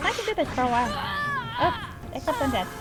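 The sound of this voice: Over loud music in the background, a high-pitched put-on character voice rattles along at a very fast pace.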